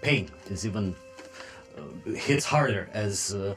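Heard in a natural reading voice, the speech has ordinary pitch variation.

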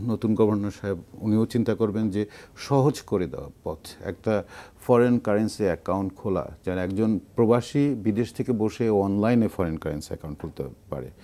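A man's fairly low, dark and mellow voice with ordinary pitch variation. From Bangladesh. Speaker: expatriate businessman; talk show guest. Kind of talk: studio panel discussion. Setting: studio. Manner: halting. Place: studio.

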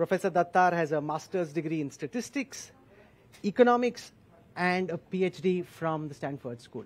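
Speaking at a moderate pace, a man uses a high voice. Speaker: event host, interviewer. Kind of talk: speaker introduction. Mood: warm, admiring, light laughs. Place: hall. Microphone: headset.

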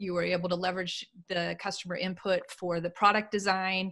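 The setting behind the voice is quiet. Here a woman talks at a moderate tempo. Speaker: podcast co-host and business consultant. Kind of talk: interview. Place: office.

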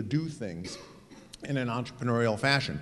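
With music in the background, a man talks at a very fast pace in a medium pitch with ordinary pitch variation. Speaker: college president. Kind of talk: panel discussion. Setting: stage with audience. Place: hall.

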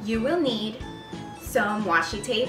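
Clear music plays behind a woman who speaks fairly slowly with ordinary pitch variation. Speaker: DIY vlogger. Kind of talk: tutorial.

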